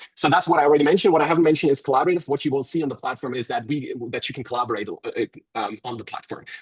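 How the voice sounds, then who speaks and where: Very fast speech from a man in a German accent, fairly high-pitched, with ordinary pitch variation. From Germany. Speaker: software company representative. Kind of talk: webinar presentation. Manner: halting, many fillers.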